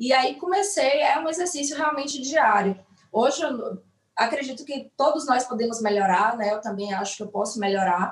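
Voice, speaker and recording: A woman with a high pitch and lively intonation speaks at a moderate pace. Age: 30s. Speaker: nurse. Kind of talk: online live interview. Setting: online live stream.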